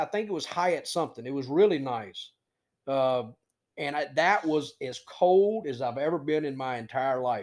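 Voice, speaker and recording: Here a man has a plain, everyday voice with a fairly high pitch. He keeps a moderate pace and lively intonation. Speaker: co-host, sportsbook director. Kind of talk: casual sports chat.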